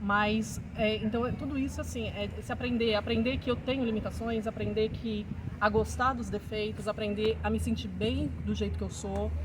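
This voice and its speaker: At a moderate pace, a woman talks while noticeable background noise fills the recording. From Brazil, São Paulo. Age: 40s. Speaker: teacher and writer. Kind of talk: interview. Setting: outdoors. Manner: halting.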